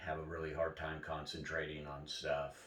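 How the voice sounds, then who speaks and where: A man speaks with a very deep, low pitch. Audible room echo surrounds his voice. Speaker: cancer patient vlogger. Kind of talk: personal video diary. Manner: halting with many fillers.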